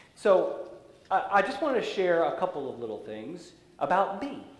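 The speaker has an American accent and keeps a moderate pace. There is audible room echo. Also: man. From US, raised partly in Central Europe. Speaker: pastor. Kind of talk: sermon. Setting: church. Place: church.

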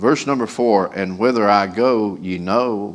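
Speaking at a moderate pace, a man keeps a fairly low pitch and fairly even intonation. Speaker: preacher. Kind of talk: sermon scripture reading and prayer. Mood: solemn, reverent. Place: church. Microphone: podium.

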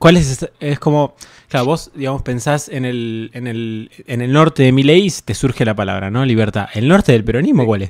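A man speaks at a moderate pace and medium pitch with ordinary pitch variation. The sound is dry with no echo, and the background is quiet. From Argentina. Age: 20s. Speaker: streamer and interviewer; streamer, interviewer. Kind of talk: casual livestream interview. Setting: livestream. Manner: hesitant, many fillers like eh and tipo. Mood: relaxed, thoughtful. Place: home room. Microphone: studio mic.

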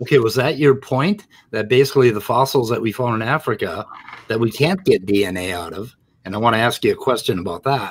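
Talking at a fairly quick pace, a man with a medium-pitched, somewhat breathy voice uses lively intonation. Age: 60s. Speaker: show host. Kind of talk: casual discussion of a debate on live stream. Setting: live stream from home. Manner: animated, laughs often.

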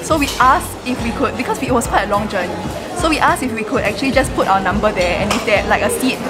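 Music plays in the background. The speech moves at a very fast pace. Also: woman. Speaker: vlogger. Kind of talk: casual vlog chat. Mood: excited, cheerful. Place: cafe. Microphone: phone near.

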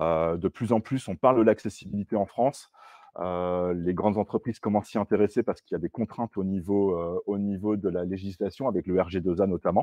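A man's fairly low voice, a plain, everyday voice, at a fairly quick pace with fairly even intonation, dry with no echo, over a quiet background. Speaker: software developer; presenter. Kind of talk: tech talk with live demo. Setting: stage with audience. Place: meeting room.

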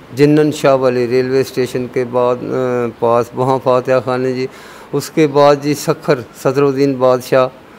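A man's monotone, flat delivery over light background noise. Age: 70s. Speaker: cycling traveller; interviewee. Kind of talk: interview storytelling. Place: street. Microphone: handheld.

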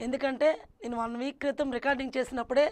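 High-pitched female speech, intonation fairly even throughout. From Srikakulam district, north coastal Andhra Pradesh; Andhra Pradesh. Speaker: burrakatha folk performer; interview guest. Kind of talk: interview. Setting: studio. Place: studio. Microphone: lapel.

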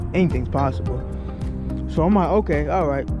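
Clear music plays in the background. A man's voice sounds dry, with no echo. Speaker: car owner vlogger. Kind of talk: casual vlog chat. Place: street. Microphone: phone near.

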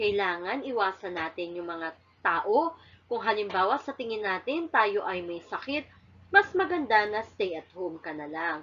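Her pitch sits at a medium level for a woman but swings very widely. She speaks at a fairly slow pace. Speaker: elementary school teacher. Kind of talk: recorded lesson for children. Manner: slow and clear, addressing children.

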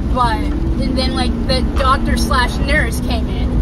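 A woman speaks at a fairly slow pace. The sound is dry with no echo, but the background noise is loud. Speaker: driver vlogger. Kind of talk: casual vlog chat. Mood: animated, amused storytelling. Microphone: phone near.

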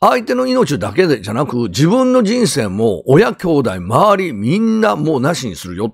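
Vocal fry and very wide pitch swings both mark this man's speech. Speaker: YouTuber and ex-convict commentator. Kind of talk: crime news commentary monologue. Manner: rambling, many filler words.

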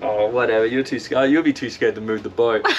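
At a fairly quick pace and medium pitch, the man speaks with a slightly mellow tone and fairly even intonation, with faint background noise behind him.

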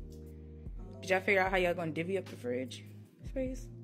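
A woman with an American accent over faint music in the background. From Washington DC metro area. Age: 20s. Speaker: entrepreneur and cosmetics chemistry student. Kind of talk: casual vlog talk to camera.

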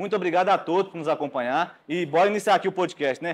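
A man with a high pitch talks very fast, his pitch varying in an ordinary way. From Brazil. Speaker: podcast host. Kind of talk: casual chat; podcast intro and interview question. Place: studio. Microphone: lapel.

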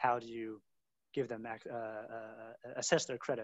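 A man with an American accent speaks at a moderate pace. The sound is dry with no echo over a quiet background. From US. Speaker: venture capital investor; webinar panelist. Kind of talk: panel discussion. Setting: video call. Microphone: video call.

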